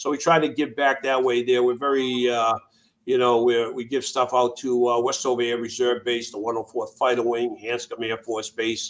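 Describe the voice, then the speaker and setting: A man with a Boston accent, medium pitch, monotone, flat intonation and a moderate pace. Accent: New England (Boston area). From Massachusetts, Worcester. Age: 60s. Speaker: Air Force veteran, nonprofit founder. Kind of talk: interview conversation. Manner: halting, many fillers.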